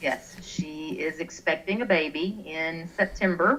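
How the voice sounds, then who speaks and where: A woman speaks with a Texan accent at a very deep, low pitch. Her pitch varies in an ordinary way. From Texas, small town. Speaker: online gamer, clan leader. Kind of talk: interview. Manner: chatty.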